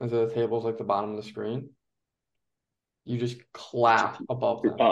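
Speaking with an American accent, the man uses a medium pitch. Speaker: podcast co-host. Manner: casual, joking.

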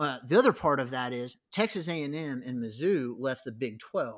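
A man with an American accent speaks at a fairly quick pace and a fairly high pitch. His tone is animated and his intonation lively. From San Diego, California. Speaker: college football commentator. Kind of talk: casual chat.

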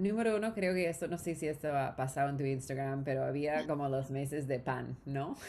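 A woman with an English accent speaks in a very deep, low voice with a dark, mellow tone. Her moderate pace has hardly any pauses, and her intonation is lively. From US West Coast, Southern California (Orange County). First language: English (speaking Spanish). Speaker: startup founder. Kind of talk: interview. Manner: halting.

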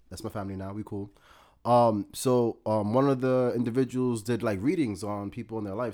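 On a very clean recording with a silent background, a man with a New York accent speaks at a fairly low pitch and a fairly quick pace, his tone dark and mellow and his pitch varying in an ordinary way. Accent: New York City. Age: 30s. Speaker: entrepreneur and mental health advocate. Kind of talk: casual interview chat.

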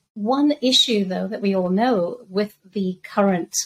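The speaker is a woman. Her voice sounds somewhat breathy. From Zambia. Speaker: crypto and macro researcher. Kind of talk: podcast interview.

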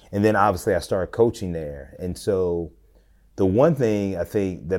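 In a very clean recording with a silent background, a man with an American accent talks at a fairly quick pace. His pitch is very deep and low, with ordinary variation. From Tennessee and Georgia, US South. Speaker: pastor, educator and coach. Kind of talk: casual interview conversation.

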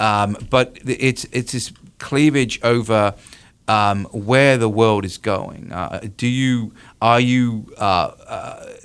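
On a very clean recording with a silent background, a man with a British accent speaks with fairly even intonation. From UK. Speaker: university professor of political science. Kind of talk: radio interview on politics. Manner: halting, with many fillers.

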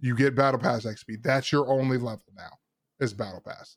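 A man talks at a moderate pace in an unremarkable speaking voice with medium pitch. The recording is very clean, with a silent background. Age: 20s. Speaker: gaming podcast host. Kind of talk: casual chat.

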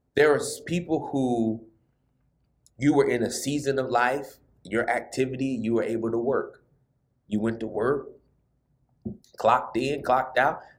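A man of medium pitch at a moderate pace, with fairly even intonation, long, frequent pauses and audible room echo. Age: 30s. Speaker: pastor. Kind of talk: sermon. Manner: casual, conversational.

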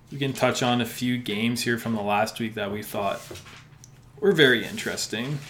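A man with a Canadian accent keeps a fairly even intonation. Noticeable background noise runs behind him. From Alberta, Canada (Sherwood Park). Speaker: sports podcast co-host. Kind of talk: casual chat.

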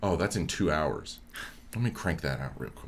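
This man's pitch is very deep and low. Vocal fry runs through his voice. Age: 20s. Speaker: graduate student in dramatic writing. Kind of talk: casual chat.

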